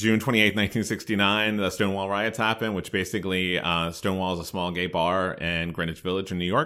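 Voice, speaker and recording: A man's very deep, low voice in an American accent, very fast with hardly any pauses and fairly even intonation. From Maryland (Hagerstown). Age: 40s. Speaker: university student affairs director. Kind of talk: interview.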